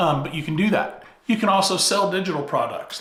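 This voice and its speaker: A man talks at a moderate pace, his voice carrying audible room echo amid noticeable background noise. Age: 50s. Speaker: YouTube coach. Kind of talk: talking-head tutorial.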